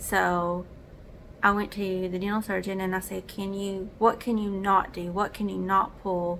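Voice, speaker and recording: A woman with a Southern US accent and a medium pitch speaks at a fairly slow pace in a monotone, flat intonation, in a very clean recording with a silent background. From US South. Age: 30s. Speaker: vlogger. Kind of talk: casual chat.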